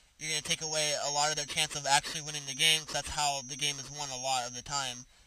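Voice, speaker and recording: In a flat monotone, a man with a fairly high pitch speaks in a bright, sharp tone. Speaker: gaming commentator. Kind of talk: gameplay commentary. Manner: stuttering, filler-heavy; casual.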